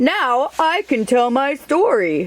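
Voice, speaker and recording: High in pitch, this is a put-on character voice. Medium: read story. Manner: slow, sleepy, gentle.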